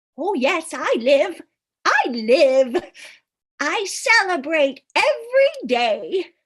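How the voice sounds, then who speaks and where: In a put-on character voice, a woman talks very slowly in a sing-song way, with an extremely high pitch and very wide pitch swings. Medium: stage play. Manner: rambling, singsong, giggly.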